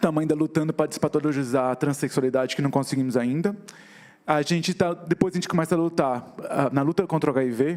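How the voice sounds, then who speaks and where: This man speaks at a very fast pace, his pitch fairly high with ordinary variation. His loudness stays very even throughout. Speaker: activist and visual artist. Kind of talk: talk on stage.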